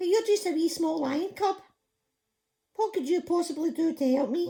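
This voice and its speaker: A put-on character voice, squeaky and extremely high in pitch, with an anxious tone at a moderate pace. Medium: read story. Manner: small, anxious.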